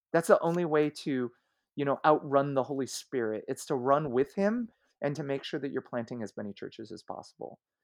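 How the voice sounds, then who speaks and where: A man's fairly high voice at a fairly quick pace, an unremarkable speaking voice with big swings in loudness, ordinary pitch variation, and a dry, close sound with no echo over a quiet background. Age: 40s. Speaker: senior pastor. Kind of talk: casual interview.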